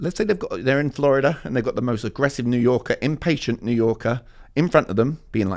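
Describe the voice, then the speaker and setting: Over a very clean recording with a silent background, a man speaks very fast in a London accent. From East London, England. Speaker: communication coach. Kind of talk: interview answer.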